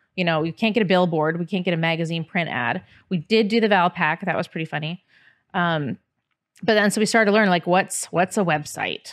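Over a quiet backdrop, the pitch rises and falls in an ordinary way. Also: woman, fairly low pitch for a woman, fairly quick pace. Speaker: podcast guest. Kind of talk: interview answer. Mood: relaxed, lightly amused. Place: studio. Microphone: studio mic.

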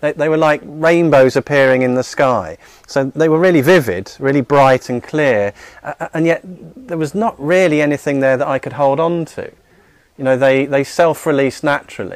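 A man at a moderate pace, dry sound with no echo, and a quiet background. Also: ordinary pitch variation. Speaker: spiritual teacher. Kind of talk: talk to audience. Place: studio. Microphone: studio mic.

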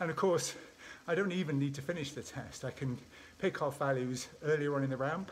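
Light background noise sits behind a man's voice. He speaks at a moderate pace with ordinary pitch variation. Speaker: sports scientist vlogger. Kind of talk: casual vlog chat. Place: home room. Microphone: phone near.

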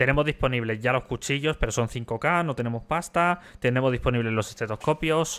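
A man talks at a fairly quick pace with hardly any pauses, at a medium pitch with ordinary pitch variation, in an unremarkable speaking voice. The recording is very clean, with a silent background. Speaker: streamer. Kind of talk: live gameplay roleplay stream chat.

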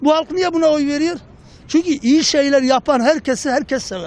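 A man speaks at a moderate pace and a high pitch. The sound is dry with no echo, and music plays in the background. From Adıyaman, eastern Turkey. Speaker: passer-by. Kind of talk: street interview. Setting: outdoors. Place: street. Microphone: handheld.

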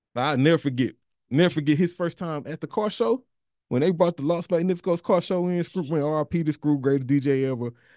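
A man's fairly high, dark and mellow voice with an American accent and ordinary pitch variation, fairly quick, in a dry sound with no echo and a quiet background. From Texas. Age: 40s. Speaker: podcast host. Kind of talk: casual chat. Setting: studio. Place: studio. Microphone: studio mic.

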